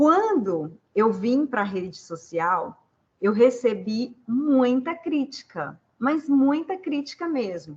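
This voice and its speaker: A woman talks at a very slow pace in a high pitch, her voice making very wide pitch swings. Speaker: leadership and human development consultant. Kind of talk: panel discussion answer.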